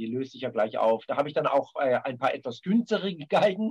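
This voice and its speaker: A man speaks at a fairly quick pace. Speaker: film composer and violinist. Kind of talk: interview.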